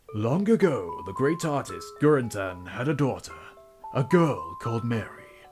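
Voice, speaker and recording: Music plays in the background. A man with a fairly high voice swings his pitch very widely. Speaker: game reviewer. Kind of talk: game review commentary. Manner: trying to sound professional.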